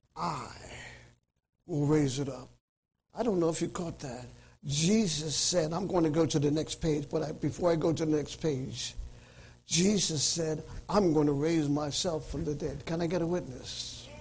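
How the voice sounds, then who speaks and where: An animated tone with vocal fry and long, frequent pauses. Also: man, fairly high pitch for a man, moderate pace. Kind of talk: sermon. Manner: animated, fervent preacher's cadence, repeating lines and calling for amens; emphatic, declamatory, hammering each point with repetition.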